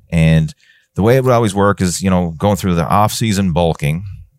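Speaking in a Newfoundland accent, a man with a very deep, low voice uses lively intonation in a very clean recording with a silent background and a dry, close sound with no echo. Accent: Newfoundland Canadian. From Newfoundland, Canada. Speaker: fitness coach. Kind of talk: casual chat.

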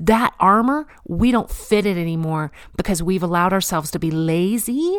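A woman's animated voice at a fairly slow pace with ordinary pitch variation, in a very clean recording with a silent background. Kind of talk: devotional talk.

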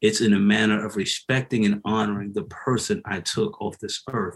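A fairly low-pitched man speaks at a moderate pace with an American accent. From US South, Hilton Head Island, South Carolina. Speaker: former prisoner, re-entry nonprofit founder. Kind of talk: interview testimony.

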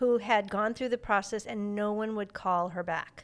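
A woman speaks at a moderate pace in a plain, everyday voice, fairly high in pitch. The recording is very clean, with a silent background. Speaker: podcast host. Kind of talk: casual interview.

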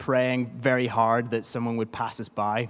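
A man speaks with a Northern Irish accent. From Northern Ireland. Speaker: preacher. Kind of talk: sermon. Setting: church. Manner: informal, humorous.

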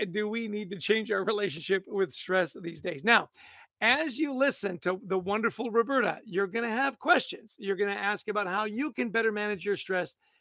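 The voice is raised and projected, with ordinary pitch variation. It moves at a moderate pace. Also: man, high pitch for a man. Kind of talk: live web show hosting and interview. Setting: video call.

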